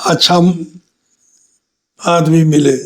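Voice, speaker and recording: A man's high-pitched voice in a monotone, flat intonation. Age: 70s. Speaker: former politician. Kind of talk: interview.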